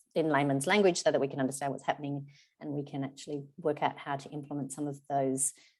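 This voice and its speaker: Speaking with an Australian accent, a woman has a very deep, low pitch. She talks fairly quickly with fairly even intonation. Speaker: charity representative. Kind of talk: webinar presentation. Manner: fast.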